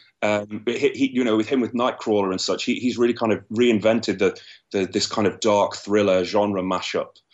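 A London accent at a fairly quick pace, monotone and flat in intonation, with very even loudness. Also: man, medium pitch for a man. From London, England. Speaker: screenwriter. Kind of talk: interview. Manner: halting, many repeated words.

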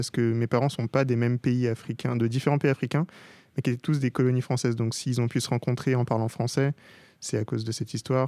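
A man with a medium pitch and a dark, mellow tone speaks with fairly even intonation. The very clean recording has a silent background and a dry, close sound with no echo. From Paris suburbs, Gennevilliers housing estate. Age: 20s. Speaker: digital artist. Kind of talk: interview. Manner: hesitant, many fillers.

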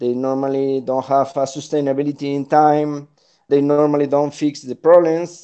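With a Spanish accent, a man speaks in a dark, mellow tone at a moderate pace, his intonation monotone and flat, against a quiet background. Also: fairly high pitch for a man. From Spain. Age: 40s. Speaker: innovation consultant. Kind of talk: interview.

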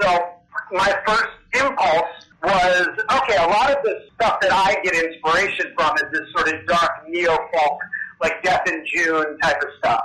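Against noticeable background noise, a high-pitched man uses a raised, projected voice at very even loudness, with lively intonation and a fairly slow pace. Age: 40s. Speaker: punk band frontman and Satanist. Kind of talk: interview.

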